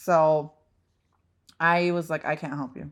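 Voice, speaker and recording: Recorded very cleanly against a silent background, a woman with a non-native accent speaks at a very deep, low pitch in an animated tone. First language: not English. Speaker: real estate agent, podcast co-host. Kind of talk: casual chat.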